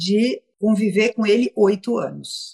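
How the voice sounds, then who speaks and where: A woman speaks in a somewhat breathy voice. The sound is dry and close, with no echo. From São Paulo, Brazil. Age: 60s. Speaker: entertainment businesswoman and philanthropist. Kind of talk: casual interview. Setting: video call, Instagram live.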